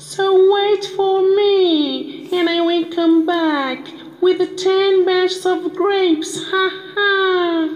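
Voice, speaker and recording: A cartoonish character voice, squeaky and extremely high-pitched, moves at a very slow pace. Light background noise sits underneath. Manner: boastful, sly, laughing.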